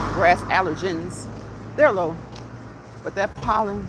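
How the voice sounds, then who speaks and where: Noticeable background noise sits behind the voice. The tone is animated, and the pace is fairly slow. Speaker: vlogger. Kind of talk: casual chat. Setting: outdoors, walking. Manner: repetitive, animated.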